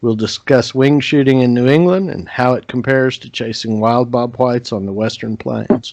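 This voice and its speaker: An unremarkable speaking voice from a man with an American accent, at a medium pitch with ordinary pitch variation, moves at a moderate pace with hardly any pauses and big swings in loudness. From Oklahoma. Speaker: podcast host. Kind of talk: scripted intro and sponsor read; podcast interview.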